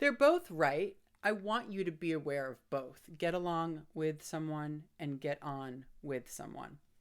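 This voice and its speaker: This woman has an American accent. Her pitch is very deep and low. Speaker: English teacher. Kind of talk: ESL lesson to camera. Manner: upbeat.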